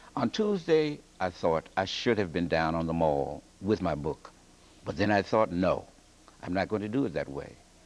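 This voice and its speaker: Lively intonation marks this man's very deep, low-pitched voice. He talks at a moderate pace. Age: 60s. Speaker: English teacher and author. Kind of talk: TV news interview.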